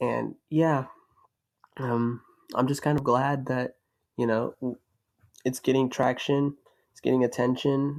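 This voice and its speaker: The speaker has an American accent and a monotone, flat intonation. The pace is fairly slow, with long, frequent pauses. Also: man, medium pitch for a man, big swings in loudness. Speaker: YouTuber, commentary. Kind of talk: unscripted commentary rant. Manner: halting, stuttering.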